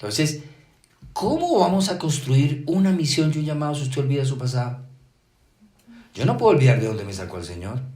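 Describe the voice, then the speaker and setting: In a room with audible echo, a man with a fairly high pitch talks at a fairly quick pace, with lively intonation, big swings in loudness and long, frequent pauses. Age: 60s. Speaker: pastor. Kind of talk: sermon.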